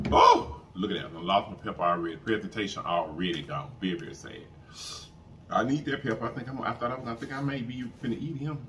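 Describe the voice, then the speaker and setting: A woman's very deep, low voice with very wide pitch swings and a very fast pace, over light background noise. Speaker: mukbang youtuber. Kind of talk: casual eating-show chat to camera. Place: home room.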